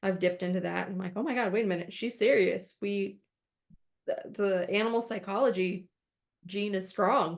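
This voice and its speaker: With an American accent, a woman speaks at medium pitch and a moderate pace, her intonation fairly even. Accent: Midwestern accent slips out at times. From Arizona, US, raised by Midwesterners. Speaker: podcast co-host, animal trainer. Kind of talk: casual chat.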